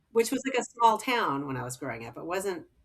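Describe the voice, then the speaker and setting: A woman speaks with a Californian accent. Her tone is animated and her pace fairly quick. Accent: General American (Californian). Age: 60s. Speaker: physician, gynecologist. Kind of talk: casual podcast interview. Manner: animated, filler-heavy speech.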